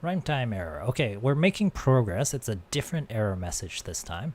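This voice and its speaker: Mumbling, somewhat breathy speech at a moderate pace with very wide pitch swings. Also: man. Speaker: programming instructor streamer. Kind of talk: live-stream tutorial.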